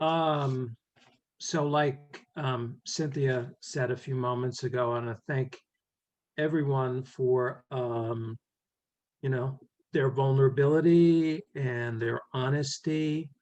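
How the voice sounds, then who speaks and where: Someone with a New York accent talks at a very slow pace with fairly even intonation. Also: man, medium pitch for a man. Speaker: poet. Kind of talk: poetry reading. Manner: halting, many fillers.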